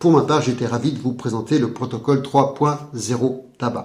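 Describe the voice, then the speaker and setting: In a room with audible echo, a man talks fairly quickly at a medium pitch, his tone dark and mellow and somewhat breathy. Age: 50s. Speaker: hypnotherapist. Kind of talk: sales pitch. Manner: formal.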